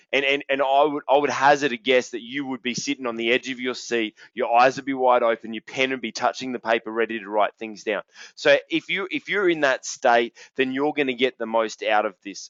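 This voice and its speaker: A man with an Australian accent talks at a fairly quick pace in a medium pitch, energetic in tone, with ordinary pitch variation and hardly any pauses. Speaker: business coach. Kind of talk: webinar presentation. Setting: online webinar, wireless headset, standing. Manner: loud.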